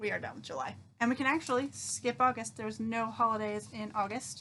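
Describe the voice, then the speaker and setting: A woman speaks at a fairly quick pace, her loudness swinging widely. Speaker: teacher. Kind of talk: recorded lesson for students. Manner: animated.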